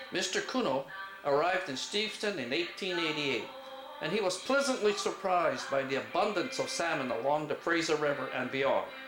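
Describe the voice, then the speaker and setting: Over music in the background, a man talks at a fairly quick pace in a high voice with very wide pitch swings. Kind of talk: historical narration.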